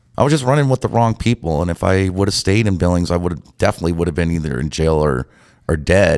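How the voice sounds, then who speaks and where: Over a quiet background, a man speaks at a very fast pace. His voice is very deep and low, with an American accent. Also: lively intonation. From Montana, US. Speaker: DJ; guest. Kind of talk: casual chat. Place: studio. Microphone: studio mic.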